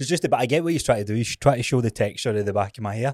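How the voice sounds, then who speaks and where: A man's medium-pitched voice with a Scottish accent and ordinary pitch variation, dry and close with no echo, on a very clean recording with a silent background. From Scotland. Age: 30s. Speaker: podcast host. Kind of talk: casual chat.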